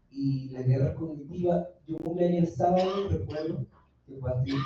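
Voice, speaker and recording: His pace is moderate. The man's pitch shows ordinary variation. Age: 20s. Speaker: young staff member speaking at a forum. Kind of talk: audience comment at a public forum. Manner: hesitant, many fillers.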